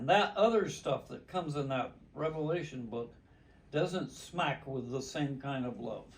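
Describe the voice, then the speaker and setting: A man talks at a fairly slow pace with a fairly high pitch. His voice is somewhat breathy, with lively intonation. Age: 80s+. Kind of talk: interview answer. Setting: living room.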